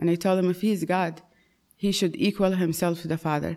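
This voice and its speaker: A woman's fairly low, dark, mellow voice in an Arabic accent, fairly quick and monotone with flat intonation. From Saudi Arabia. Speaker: churchgoer, convert to Christianity. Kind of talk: testimony.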